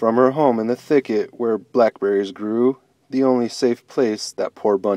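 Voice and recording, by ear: In a natural voice, the speaker reads a passage aloud.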